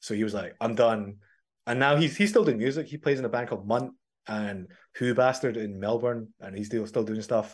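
Over a quiet background, a man with a Glaswegian accent talks fairly quickly at a medium pitch with fairly even intonation. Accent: Glaswegian Scottish. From Scotland. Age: 30s. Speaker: metal musician. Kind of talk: casual interview chat.

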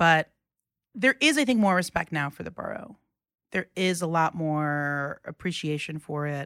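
This woman has an unremarkable speaking voice, fairly low in pitch, with an American accent at a moderate pace. The sound is dry and close with no echo, on a very clean recording with a silent background. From New York City, Queens (Rockaway). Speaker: journalist. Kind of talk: casual chat.

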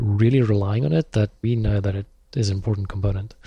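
Somewhat breathy, a man with a fairly low pitch talks at a very fast pace. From South Africa. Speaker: software engineer, open-source project creator. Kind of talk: interview.

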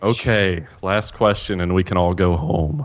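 A man with a very deep, low voice speaks at a moderate pace with ordinary pitch variation amid noticeable background noise. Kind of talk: game show host reading trivia clues. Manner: animated, laughing, scorekeeping.

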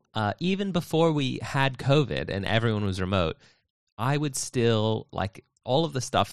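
Against a quiet background, a man speaks at a moderate pace with very wide pitch swings, in a dry, close sound with no echo. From United States. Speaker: software developer, podcast co-host. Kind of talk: casual chat. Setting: video call.

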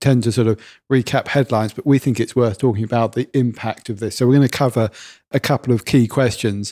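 A man with a dark, mellow tone and medium pitch talks at a fairly quick pace, the sound dry and close with no echo on a very clean recording with a silent background. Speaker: mobile tech podcast co-host. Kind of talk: casual chat. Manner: excitable.

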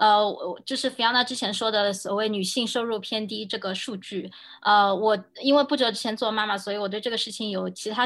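An unremarkable speaking voice from a woman, fairly high-pitched, fairly quick and with fairly even intonation, over a quiet background. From mainland China. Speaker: game industry product director. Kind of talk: casual panel discussion.

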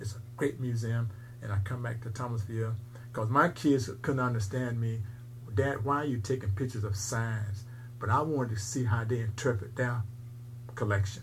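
With fairly even intonation, a man's voice sounds somewhat breathy. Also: moderate pace. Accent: American. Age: 80s+. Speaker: museum owner, military veteran. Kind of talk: casual interview, storytelling. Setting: recorded interview, low audio quality.

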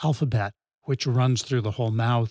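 A man with an American accent speaks at a medium pitch in a somewhat breathy voice with fairly even intonation, on a very clean, dry, close recording with a silent background and no echo. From New England, west of Boston. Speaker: professor. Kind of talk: casual chat. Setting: studio, in person.

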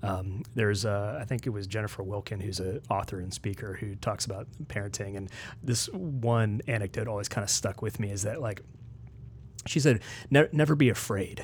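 A man speaks at a moderate pace with a fairly low pitch. His voice is somewhat breathy, with ordinary pitch variation. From West Virginia. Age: 40s. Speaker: ethics and theology researcher. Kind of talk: casual interview. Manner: hesitant, many fillers.

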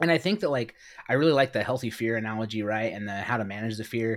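A man speaks in an ordinary speaking voice, medium in pitch, with ordinary pitch variation. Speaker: podcast host. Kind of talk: casual chat.

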